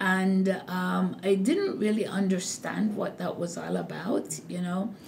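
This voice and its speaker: Against noticeable background noise and audible room echo, a woman speaks at a very slow pace. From Jamaica. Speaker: hospital nursing executive. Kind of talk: interview. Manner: slow and deliberate.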